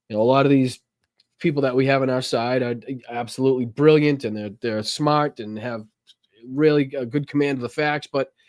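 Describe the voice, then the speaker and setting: Speaking at a fairly quick pace, a man with an American accent uses a medium-pitched voice. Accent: Boston accent, toned down. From Boston, Massachusetts. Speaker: political talk show host. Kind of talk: casual chat. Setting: live stream. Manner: animated.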